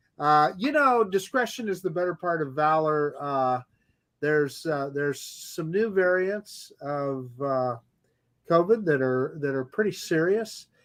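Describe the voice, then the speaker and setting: A man speaks at a fairly slow pace with lively intonation and a fairly high pitch. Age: 60s. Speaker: drone channel co-host. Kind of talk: casual chat. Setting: live stream video call.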